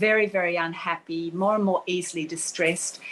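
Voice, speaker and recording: In an Australian accent, a woman speaks at a moderate pace with a bright, sharp tone. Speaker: author and journalist. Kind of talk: interview. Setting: online video event.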